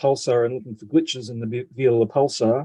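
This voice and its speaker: Using an Australian accent, a man speaks at a moderate pace with a dark, mellow tone and fairly even intonation. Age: 60s. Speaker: retired physicist and amateur radio astronomer. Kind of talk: video call conference talk. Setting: video call. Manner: halting, many fillers.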